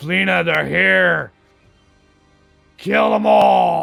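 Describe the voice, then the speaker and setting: A man does a put-on character voice, raspy and very deep in pitch, with faint music in the background. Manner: commanding.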